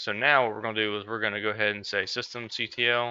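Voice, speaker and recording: A man's fairly low-pitched voice at a very fast pace, bright and sharp in tone with monotone, flat intonation, in a dry sound with no echo and a quiet background. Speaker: tech tutorial creator; instructor. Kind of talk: tutorial. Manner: casual, with fillers. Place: home room.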